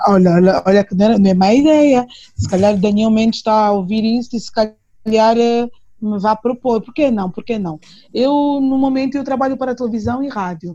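Her voice is fairly high for a woman, somewhat breathy, with a dark, mellow tone. She keeps a moderate pace and ordinary pitch variation. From Angola, Luanda. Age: 30s. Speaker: singer. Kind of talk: interview.

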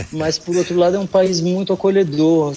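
A man talks at a moderate pace. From Brazil, São Luís, Maranhão. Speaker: singer-songwriter. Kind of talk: interview. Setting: online remote call.

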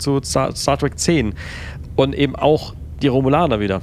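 A man amid noticeable background noise. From Palatinate, Germany. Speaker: podcast co-host. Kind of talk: casual chat.

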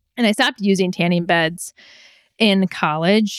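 A woman with a US Midwestern accent speaks at a fairly low pitch, her voice dry and close with no echo. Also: very clean recording, silent background. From Michigan, US Midwest. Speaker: melanoma survivor and sun safety advocate. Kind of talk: interview.

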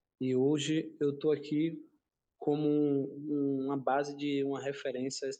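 A man's dark, mellow tone in monotone, flat intonation. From Salvador, Bahia, Brazil (Castelo Branco neighborhood). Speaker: capoeira teacher and community cultural space manager. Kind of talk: casual panel discussion.

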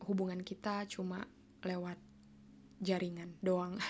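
A woman's normal speaking voice at medium pitch, at a fairly slow pace. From Indonesia. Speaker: podcast host, university student abroad. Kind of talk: casual monologue.

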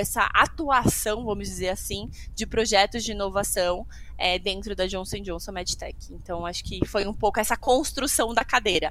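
A woman's voice of medium pitch carries a bright, sharp tone. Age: 30s. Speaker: healthcare innovation executive. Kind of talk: casual interview.

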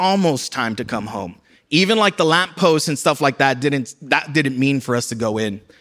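Very wide pitch swings mark this man's fairly quick speech in an American accent. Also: very clean recording, silent background. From US South, South Texas border city. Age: 30s. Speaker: pastor. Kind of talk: sermon.

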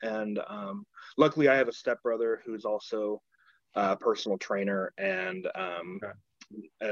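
A man is speaking against a quiet background. The sound is dry and close, with no echo. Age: 20s. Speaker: podcast guest sharing weight loss story. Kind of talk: casual interview.

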